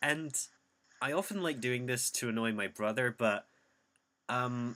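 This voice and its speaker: Medium in pitch and bright, sharp in tone, a man's voice moves at a moderate pace with ordinary pitch variation. The recording is very clean, with a silent background. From Scotland. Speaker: podcast host. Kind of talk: casual chat.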